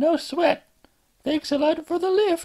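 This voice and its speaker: This put-on character voice is squeaky and extremely high in pitch. It moves along at a fairly slow pace. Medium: read story. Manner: upbeat, easygoing.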